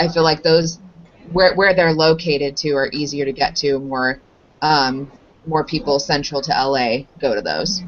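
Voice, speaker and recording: A woman speaks at a moderate pace with an American accent. Her pitch is very deep and low, with ordinary variation. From Southern California (Anaheim). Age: 30s. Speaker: dance teacher, interviewee. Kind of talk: interview. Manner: hesitant, many fillers and repeats.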